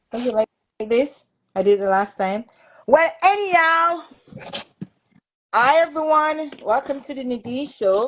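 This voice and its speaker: Her pitch swings very widely as this woman talks at a fairly slow pace. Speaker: talk show host. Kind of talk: casual live-stream chat.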